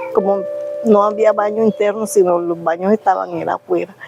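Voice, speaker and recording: A woman with a medium-pitched voice talks at a moderate pace over noticeable background noise. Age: 60s. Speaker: interviewee, family member. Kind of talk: testimony.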